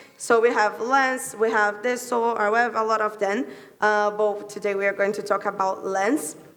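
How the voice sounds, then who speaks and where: The speech moves at a moderate pace. Room echo is audible, and the intonation stays fairly even. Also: woman. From Latin America. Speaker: tech workshop presenter, content producer. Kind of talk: conference workshop presentation. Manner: halting, many fillers.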